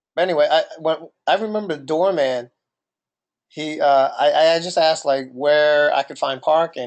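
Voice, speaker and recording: Speaking in a New Jersey accent, a man uses a fairly high pitch with ordinary pitch variation. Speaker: podcast co-host. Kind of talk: casual chat.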